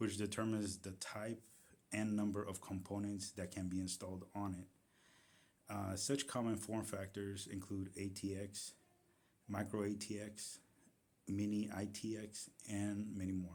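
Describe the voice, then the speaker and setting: With a non-native accent, a man speaks at a fairly low pitch in a flat monotone, at a fairly slow pace with long, frequent pauses. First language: not English. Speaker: tech YouTuber. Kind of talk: tutorial. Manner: halting, with fillers and self-corrections.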